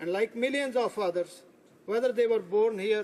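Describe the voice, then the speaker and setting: A man speaks with a Punjabi accent. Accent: Indian Punjabi. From India, Punjab. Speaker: politician. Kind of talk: parliamentary speech. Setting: legislative chamber. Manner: formal.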